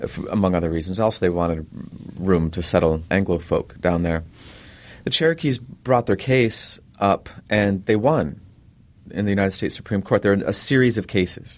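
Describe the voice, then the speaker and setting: An unremarkable speaking voice from a man with an American accent, fairly low in pitch with lively intonation, at a moderate pace against a quiet background. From Minnesota, Leech Lake Reservation. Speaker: author and professor. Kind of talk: interview.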